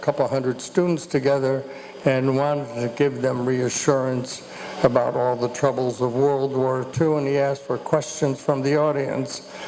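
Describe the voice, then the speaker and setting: A man with a fairly high pitch talks at a moderate pace in a flat monotone. Background noise is noticeable. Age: 80s+. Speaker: elder family member on panel. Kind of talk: personal testimony. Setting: family reunion gathering.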